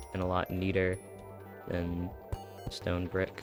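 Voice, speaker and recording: With music in the background, a man speaks in a relaxed tone at a very deep, low pitch. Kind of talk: casual game tutorial voiceover. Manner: casual, relaxed.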